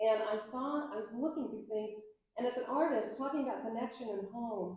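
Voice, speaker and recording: Audible room echo surrounds a woman who speaks fairly quickly in a fairly high voice. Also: ordinary pitch variation. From US South, Atlanta, Georgia. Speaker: digital artist. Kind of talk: public talk with conversation.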